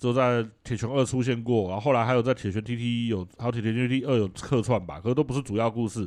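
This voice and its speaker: Speaking at a very fast pace with hardly any pauses, a man keeps a medium pitch and fairly even intonation against a quiet background. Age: middle-aged. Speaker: video game podcast co-host. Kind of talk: casual chat.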